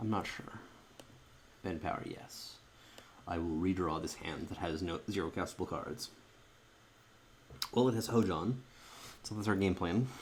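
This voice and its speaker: Soft-spoken, a man talks at a moderate pace with a very deep, low pitch. Long, frequent pauses break up his speech. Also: ordinary pitch variation. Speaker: card game streamer. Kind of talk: gameplay commentary. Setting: recording at home at night. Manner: halting.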